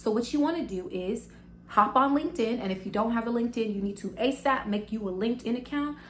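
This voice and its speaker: A woman with an American accent, fairly high-pitched, animated and fairly quick, with ordinary pitch variation and audible room echo. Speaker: business vlogger. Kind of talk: tutorial. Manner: fast.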